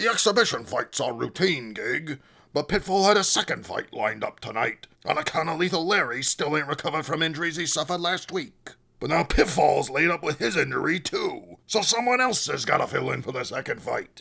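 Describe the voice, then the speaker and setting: Putting on a character voice, a man speaks high-pitched at a fairly quick pace. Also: lively intonation. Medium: read story. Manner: brash, slangy.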